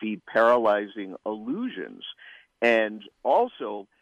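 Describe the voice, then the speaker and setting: A man talks at a medium pitch with lively intonation. He has a plain, everyday voice. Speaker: political writer. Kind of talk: interview. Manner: articulate.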